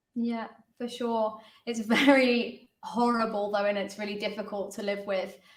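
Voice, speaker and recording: A woman with a fairly high pitch speaks at a moderate pace in a monotone, flat intonation, with audible room echo around her. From London. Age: 20s. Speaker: dance teacher and choreographer. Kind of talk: exercise class hosting.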